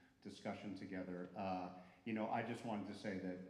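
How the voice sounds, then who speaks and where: A man with an American accent speaks at a fairly quick pace in a very deep, low pitch. Noticeable background noise and audible room echo fill the recording. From New Jersey. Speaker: music school director, conversation host. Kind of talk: welcome speech to a live audience. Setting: recital hall stage with audience. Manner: casual, hesitant with fillers.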